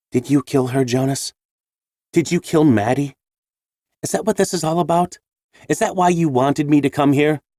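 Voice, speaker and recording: A man speaks in a put-on character voice, with long, frequent pauses and a dry, close sound that carries no echo. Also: fairly high pitch for a man, moderate pace, ordinary pitch variation. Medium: read story. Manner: steady, defiant.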